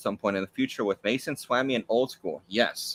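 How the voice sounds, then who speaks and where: With an American accent, a man talks at a medium pitch, the sound dry and close with no echo. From US South. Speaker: YouTuber, trading card collector. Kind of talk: live stream Q&A.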